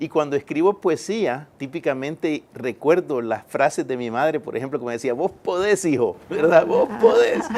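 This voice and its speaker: A man's fairly high voice at a moderate pace. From El Salvador. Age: 50s. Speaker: engineer and poet. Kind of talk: interview. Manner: hesitant, with fillers.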